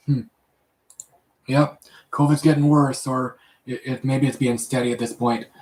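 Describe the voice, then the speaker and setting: A man with a Canadian accent speaks at a moderate pace and medium pitch, somewhat breathy and monotone, with long, frequent pauses. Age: 30s. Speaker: live streamer. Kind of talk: casual chat. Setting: live stream at home. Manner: halting.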